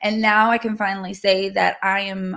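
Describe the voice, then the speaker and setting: A woman's medium-pitched, a normal speaking voice at a moderate pace. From California. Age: 30s. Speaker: nurse and host's wife. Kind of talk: casual chat.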